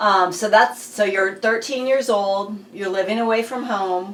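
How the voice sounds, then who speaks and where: A woman at a fairly slow pace, with ordinary pitch variation and noticeable background noise. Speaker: school board member interviewer. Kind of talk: oral history interview questions.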